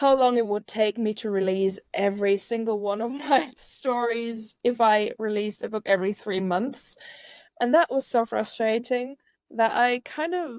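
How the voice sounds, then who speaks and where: A woman's fairly high voice with a non-native accent at a moderate pace, dry and close with no echo, in a very clean recording with a silent background. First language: not English. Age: 30s. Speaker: author. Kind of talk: podcast interview. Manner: halting.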